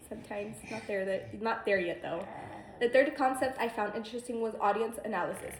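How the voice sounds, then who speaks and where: Against noticeable background noise and audible room echo, a woman talks at a fairly high pitch with ordinary pitch variation. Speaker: student. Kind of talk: class speech. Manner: fast; halting.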